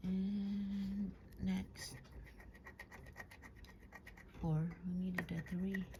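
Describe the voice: A woman speaks at a very slow pace, her medium pitch moving very little.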